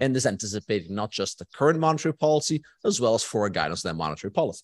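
A man is speaking. The background is quiet. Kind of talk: lecture. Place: hall.

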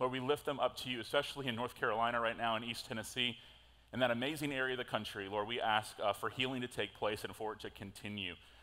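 A man's fairly even intonation comes through at a very fast pace. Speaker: pastor. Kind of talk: sermon. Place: church. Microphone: headset.

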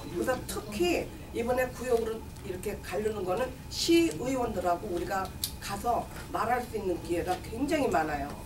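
Through noticeable background noise, a woman talks at a moderate pace with a fairly high pitch that swings very widely. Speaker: community campaign manager for seniors group. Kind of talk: press conference statement. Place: meeting room. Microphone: podium.

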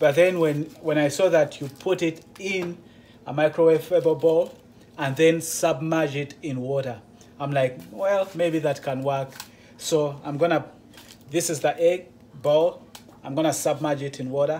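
A man talks at a fairly slow pace with fairly even intonation and long, frequent pauses. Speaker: truck driver vlogger. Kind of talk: casual vlog tutorial. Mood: curious, slightly nervous. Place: kitchen. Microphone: phone near.

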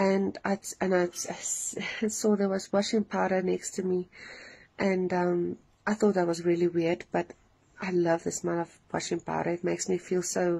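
At a fairly slow pace, a woman speaks in a fairly low pitch with monotone, flat intonation. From South Africa. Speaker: dream testimony sharer. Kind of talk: testimony. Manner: hesitant, many fillers. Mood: earnest, emotional. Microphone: phone near.

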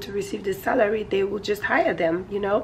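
Noticeable background noise runs under a woman's voice. She speaks at a moderate pace and medium pitch with ordinary pitch variation. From Nigeria. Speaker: vlogger. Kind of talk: casual vlog chat. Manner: loud, straining.

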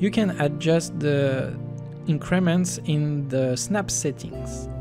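Over music in the background, a man talks at a very slow pace with a non-native accent. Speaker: game developer. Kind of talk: software tutorial narration.

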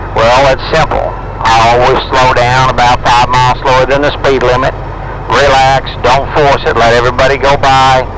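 Noticeable background noise surrounds a man with an American accent. He talks at a moderate pace. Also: dry sound with no echo. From Missouri, by way of Arkansas and Texas. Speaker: cattle-hauling truck driver. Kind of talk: casual interview over CB radio. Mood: relaxed, easygoing. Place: car.

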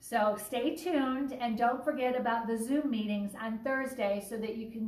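A woman with a high pitch speaks at a moderate pace with ordinary pitch variation. There is audible room echo. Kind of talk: casual announcement vlog. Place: home room. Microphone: phone near.

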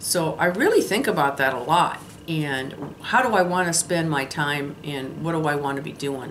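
Light background noise sits behind a woman with a very deep, low pitch. She speaks at a moderate pace with ordinary pitch variation. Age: 60s. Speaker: lifestyle vlogger. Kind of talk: casual vlog monologue. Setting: solo camera recording. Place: home room. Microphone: phone near.

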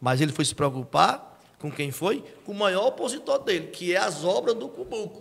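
A man talks in an animated tone at a high pitch, with very wide pitch swings. He keeps a moderate pace with hardly any pauses. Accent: northeastern Brazilian. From Ceará, Brazil. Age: 40s. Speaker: local reporter and politician; guest, political commentator. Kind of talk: interview. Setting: studio. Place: studio. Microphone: studio mic.

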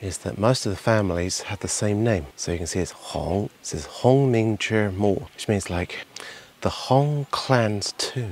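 A man speaks fairly slowly with a fairly low pitch and ordinary pitch variation, in an ordinary speaking voice. The sound is dry with no echo. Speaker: travel vlogger. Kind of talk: casual vlog commentary. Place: open country. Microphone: phone near.

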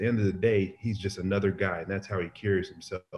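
A somewhat breathy man's voice at a fairly low pitch, over light background noise. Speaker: remote interview guest. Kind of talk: interview answer. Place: kitchen. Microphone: video call.

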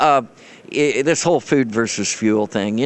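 The man talks at a moderate pace, and the sound is dry with no echo. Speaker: guest. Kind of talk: interview answer. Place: hall. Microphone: handheld.

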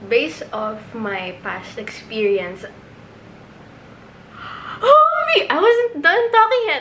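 A woman talks fairly slowly while light background noise sits underneath. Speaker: vlogger. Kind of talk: casual vlog chat. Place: home room. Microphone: phone near.

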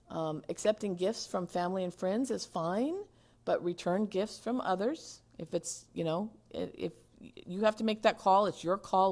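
A woman speaks at medium pitch with ordinary pitch variation. The recording is very clean with a silent background. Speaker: city attorney giving ethics training. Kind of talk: training lecture. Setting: city council chambers. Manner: fast.

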